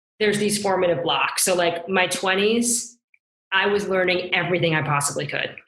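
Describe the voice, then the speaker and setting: With audible room echo, a woman talks at a moderate pace and a medium pitch. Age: 40s. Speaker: business executive. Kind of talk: interview.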